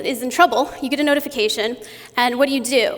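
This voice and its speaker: Noticeable background noise and audible room echo surround a woman speaking at a high pitch. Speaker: conference speaker. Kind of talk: conference talk. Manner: fast.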